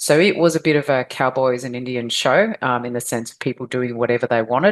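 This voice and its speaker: A woman talks with an Australian accent. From Australia (Victoria). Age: 50s. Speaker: adoptee advocate, organization founder. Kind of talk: interview, personal story.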